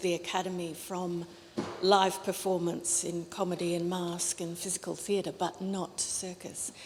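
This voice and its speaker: A woman's fairly low, monotone, flat voice in an Australian accent. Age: 60s. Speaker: academic. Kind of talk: panel discussion. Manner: halting.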